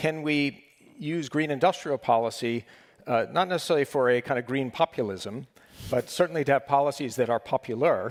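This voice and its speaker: An ordinary speaking voice from a man with an American accent, fairly quick in pace with ordinary pitch variation, in a very clean recording with a silent background and a dry, close sound with no echo. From United States. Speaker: panel moderator. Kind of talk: panel discussion.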